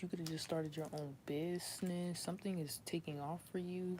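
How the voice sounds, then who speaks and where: A woman's somewhat breathy voice at a very fast pace, in a monotone, flat intonation. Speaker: tarot reader. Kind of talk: tarot reading monologue. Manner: casual, many fillers.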